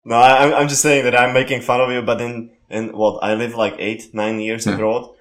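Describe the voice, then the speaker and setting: A man with a Slovak accent and medium pitch talks at a moderate pace in a monotone, flat intonation, with hardly any pauses. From Slovakia. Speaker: podcast co-host. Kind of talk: casual interview.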